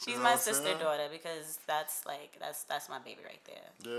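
The voice moves at a moderate pace with very wide pitch swings and big swings in loudness, over noticeable background noise. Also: woman, very deep, low pitch for a woman. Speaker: podcast guest.

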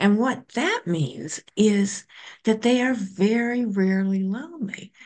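At a very slow pace, a woman talks with a medium pitch. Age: 70s. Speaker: psychologist and author. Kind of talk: casual interview chat.

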